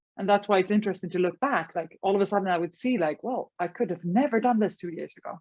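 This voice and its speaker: The speaker has a Swedish accent and talks at a very fast pace. Pitch varies in an ordinary way. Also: woman. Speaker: life coach. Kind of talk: podcast interview. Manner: halting.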